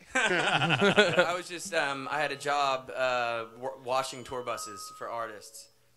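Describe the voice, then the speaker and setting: Over noticeable background noise, a man with an American accent talks at a medium pitch with ordinary pitch variation. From Nashville, Tennessee, US. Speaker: band drummer. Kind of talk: casual interview.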